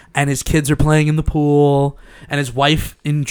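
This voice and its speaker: With a Long Island accent, a man talks in a fairly high pitch. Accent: New York (Long Island). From Long Island, New York. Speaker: podcast host. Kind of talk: casual chat. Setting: studio. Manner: animated.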